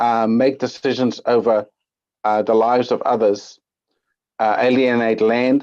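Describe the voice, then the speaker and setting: A man speaks at a medium pitch and a fairly slow pace, with long, frequent pauses. His intonation is monotone and flat, and his loudness very even. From Netherlands. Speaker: public submitter. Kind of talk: public hearing submission. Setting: video call. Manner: hesitant, many fillers.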